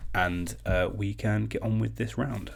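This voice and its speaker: Speaking with a British accent, a man takes his words at a fairly slow pace. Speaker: online quiz host. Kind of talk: live-stream quiz hosting. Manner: casual, chatty.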